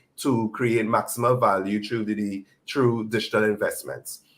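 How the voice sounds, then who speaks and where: A man speaks in a somewhat breathy voice. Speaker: conference panelist. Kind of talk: panel discussion. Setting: conference stage.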